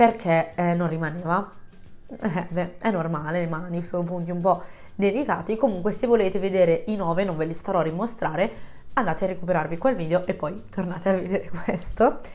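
With music in the background, a woman at a medium pitch speaks at a fairly quick pace, her pitch varying in an ordinary way. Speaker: YouTuber. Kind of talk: casual vlog chat to camera. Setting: home, close to microphone. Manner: chatty, friendly.

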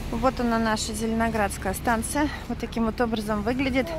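Amid noticeable background noise, a woman talks at a moderate pace with a dry sound and no echo. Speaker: travel vlogger. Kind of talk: casual vlog chat. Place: street. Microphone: phone near.

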